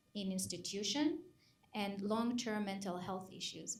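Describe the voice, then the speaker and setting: This is a woman with a medium-pitched voice. It sounds somewhat breathy. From Israel. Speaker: psychologist. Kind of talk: panel discussion.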